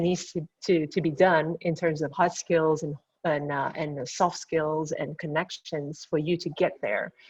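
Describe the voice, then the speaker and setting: Someone with a French accent speaks at a fairly slow pace with fairly even intonation, the sound dry and close with no echo against a quiet background. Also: woman. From France. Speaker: industrial designer. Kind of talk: lecture.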